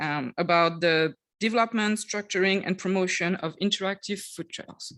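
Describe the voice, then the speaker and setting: A woman with a Quebec accent speaks at a moderate pace. Her pitch is fairly low, and the background is quiet. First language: French. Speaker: tourism development officer. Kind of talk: conference presentation. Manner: halting, many fillers.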